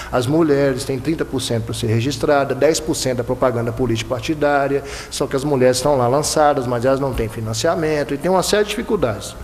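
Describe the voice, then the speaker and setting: Clearly audible noise fills the background. The man rattles off his words at a very fast pace. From Bahia–Minas Gerais border, Brazil. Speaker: electoral prosecutor. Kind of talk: panel talk. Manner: repeats words, halting at times.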